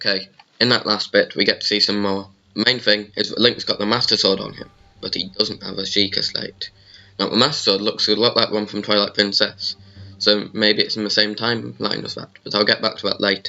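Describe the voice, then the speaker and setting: Over music in the background, a man speaks at a fairly low pitch with monotone, flat intonation. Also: fairly quick pace. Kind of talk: video game trailer analysis talk. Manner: casual, hesitant with fillers.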